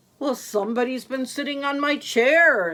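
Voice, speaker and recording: A woman speaks in a high, put-on character voice. Her pace is moderate. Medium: read story.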